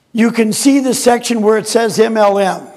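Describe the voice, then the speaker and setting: The tone is animated and the volume loud. The pace is fairly slow. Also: man. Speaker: inventor and marketing presenter. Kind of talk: sales pitch.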